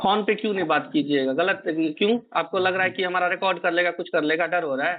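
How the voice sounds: At a fairly quick pace, the voice shows ordinary pitch variation. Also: man, high pitch for a man.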